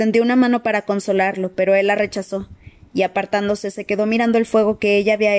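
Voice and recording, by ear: A text read aloud in a natural voice.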